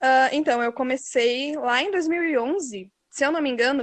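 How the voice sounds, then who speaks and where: This woman's voice sits at a high pitch. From Brazil, interior of Rio Grande do Sul. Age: 20s. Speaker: fanfic author, English teacher. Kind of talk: interview.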